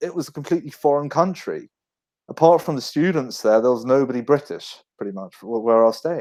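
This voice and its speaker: A man with a London accent and a fairly high pitch, fairly quick pace, lively intonation, very clean recording with a silent background. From northwest London, England. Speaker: book author. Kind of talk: casual chat.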